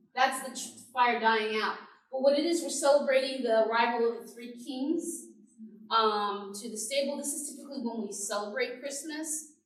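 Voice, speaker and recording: With audible room echo, a woman speaks at a high pitch and moderate pace, her loudness swinging widely. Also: ordinary pitch variation. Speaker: pastor. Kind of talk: church presentation to adult class.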